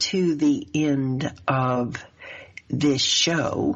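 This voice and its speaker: A woman speaks in a Southern US accent. Her pace is very slow. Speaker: life coach and show host. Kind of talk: radio talk show interview.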